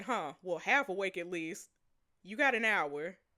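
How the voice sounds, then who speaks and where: Using a gruff, put-on character voice, a woman speaks at a moderate pace and a medium pitch with lively intonation on a very clean recording with a silent background. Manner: brusque, commanding.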